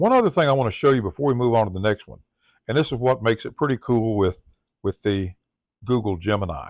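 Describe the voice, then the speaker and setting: With a Southern US accent, a man talks at a medium pitch with ordinary pitch variation, the sound dry and close with no echo. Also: very clean recording, silent background. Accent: Southern US accent, drawl. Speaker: tech tutorial presenter. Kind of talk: tutorial.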